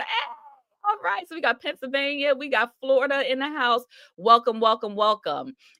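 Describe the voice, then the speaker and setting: A woman projects a raised, high-pitched voice with a warm, upbeat tone, lively intonation and big swings in loudness. She speaks at a moderate pace, and the sound is dry and close with no echo. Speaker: minister and ministry coach. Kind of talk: live-streamed sermon-style coaching talk. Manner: warm, upbeat, conversational, encouraging.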